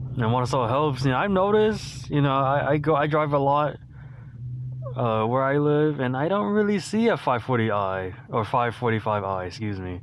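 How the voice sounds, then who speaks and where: Here a man talks at a moderate pace and medium pitch. His pitch swings very widely. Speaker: car enthusiast YouTuber. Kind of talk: casual talk while driving. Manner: hesitant, stuttering.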